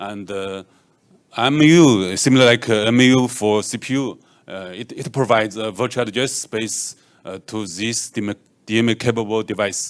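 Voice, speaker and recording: In a Chinese accent, a man speaks at a moderate pace against a quiet background. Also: ordinary pitch variation, big swings in loudness. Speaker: software engineer; conference presenter. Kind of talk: conference talk. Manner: halting, many fillers. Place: hall. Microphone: handheld.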